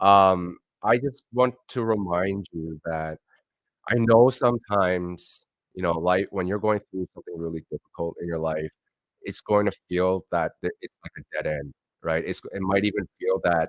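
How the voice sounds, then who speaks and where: In a Canadian accent, a man with a very deep, low pitch talks at a moderate pace with ordinary pitch variation, the sound dry and close with no echo. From Canada, Montreal then Toronto. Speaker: motivational speaker. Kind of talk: motivational talk; livestream talk. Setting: livestream with guests. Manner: halting. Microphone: echo from speakers.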